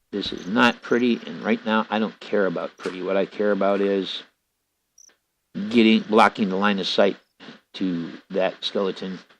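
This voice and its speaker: A man with a fairly low pitch speaks at a moderate pace with fairly even intonation. He takes long, frequent pauses. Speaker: gaming youtuber. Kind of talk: let's play commentary.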